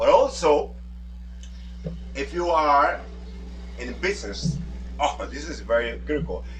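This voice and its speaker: A man talks at a fairly slow pace with long, frequent pauses and big swings in loudness, over noticeable background noise and audible room echo. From Dominican Republic. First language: Spanish. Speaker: language coach. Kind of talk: tutorial. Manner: emphatic.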